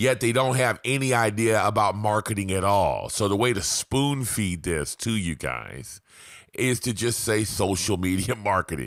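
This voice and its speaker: A man speaks at a fairly low pitch. His voice has vocal fry. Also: ordinary pitch variation, moderate pace, very clean recording, silent background. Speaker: marketing vlogger. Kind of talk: casual video monologue. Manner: casual, profane.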